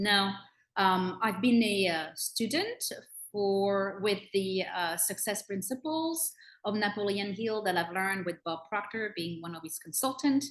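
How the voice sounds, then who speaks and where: At a fairly slow pace, a woman with a French accent speaks at medium pitch with ordinary pitch variation. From France (Bordeaux). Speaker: personal growth consultant. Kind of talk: self-introduction in group video call. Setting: video call. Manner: halting, many fillers.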